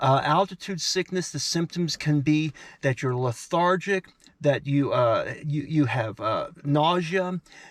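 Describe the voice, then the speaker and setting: Recorded very cleanly against a silent background, a man speaks fairly slowly at a fairly high pitch with ordinary pitch variation, the sound dry and close with no echo. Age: 60s. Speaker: travel vlogger. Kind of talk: casual to-camera talk. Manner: halting, many fillers.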